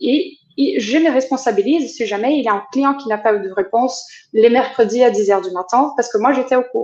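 With typical rise and fall, a woman's high voice comes through. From France and Brazil. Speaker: company culture coordinator. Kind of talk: interview.

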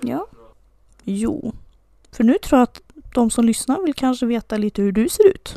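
A woman speaks at a moderate pace in a high-pitched voice with a dark, mellow tone and lively intonation. Her long, frequent pauses come through in a dry, close sound with no echo. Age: 20s. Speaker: podcast co-host. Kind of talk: casual chat.

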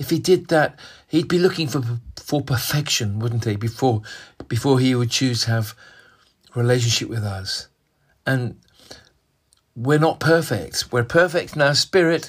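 A man with a medium-pitched, somewhat breathy voice speaks at a moderate pace with lively intonation and long, frequent pauses. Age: 60s. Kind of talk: devotional sermon monologue. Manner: hesitant, with fillers and repetitions.

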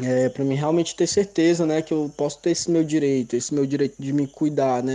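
In a dark, mellow tone, a man moves through his words at a fairly quick pace. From Ceará, Brazil (Baturité). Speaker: medical cannabis patient. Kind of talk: recorded testimony.

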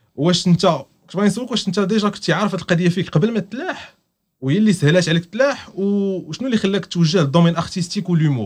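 A man's high-pitched voice at a very fast pace, with ordinary pitch variation and hardly any pauses. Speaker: podcast host. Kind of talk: casual chat.

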